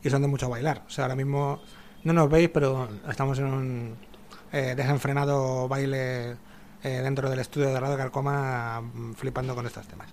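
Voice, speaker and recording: A man at medium pitch, monotone and flat in intonation, at a moderate pace, with noticeable background noise. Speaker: radio host. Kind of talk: casual chat. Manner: hesitant. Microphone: a bit far from the microphone.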